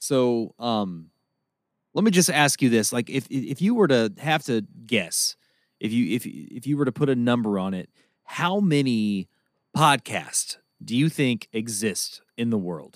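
In a very clean recording with a silent background and a dry, close sound with no echo, a man speaks with a plain, everyday voice, medium pitch and lively intonation. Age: 30s. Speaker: podcast co-host. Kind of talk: casual chat.

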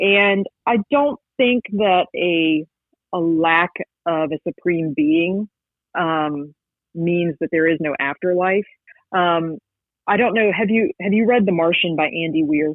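A woman with an American accent speaks at a very slow pace in a fairly low pitch, at very even loudness, with long, frequent pauses. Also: ordinary pitch variation. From West Virginia. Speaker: paranormal investigator and author. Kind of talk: interview.

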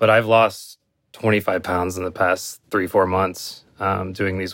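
A man's pitch sits very deep and low. He speaks at a fairly slow pace. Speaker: VR fitness user, graphic designer. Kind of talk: casual interview.

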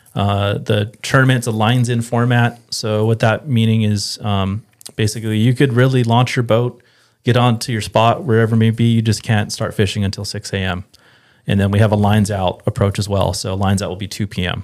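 A man's unremarkable speaking voice with an American accent, medium in pitch, at a fairly quick pace, on a very clean recording with a silent background. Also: fairly even intonation. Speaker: fishing industry rep. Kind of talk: casual chat.

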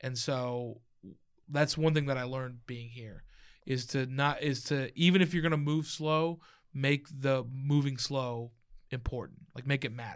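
In an American accent, a man with an unremarkable speaking voice talks at a fairly slow pace with medium pitch and fairly even intonation, his loudness swinging widely. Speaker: stand-up comedian. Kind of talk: casual chat. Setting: studio.

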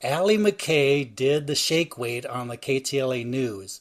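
A man with an unremarkable speaking voice, pitched fairly high, speaks with lively intonation. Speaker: podcast co-host.

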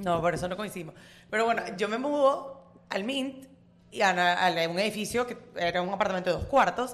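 An ordinary speaking voice from a woman, medium in pitch, with lively intonation and a moderate pace. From Venezuela. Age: 20s. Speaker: student. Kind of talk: casual chat. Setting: coworking cafe.

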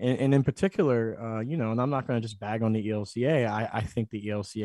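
With an American accent, a man in an unremarkable speaking voice talks at a fairly quick pace and fairly low pitch, with ordinary pitch variation, in a dry, close recording with no echo that is very clean with a silent background. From US Northeast, Philadelphia. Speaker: author and pastor. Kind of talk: interview.

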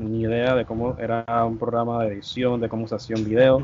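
A man speaks here. His intonation stays monotone and flat. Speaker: gaming content creator. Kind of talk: casual chat.

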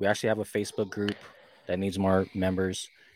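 A man with a fairly low voice talks over a silent background in a very clean recording. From Hawaii, Oahu. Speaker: fan group founder, Air Force veteran. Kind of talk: interview.

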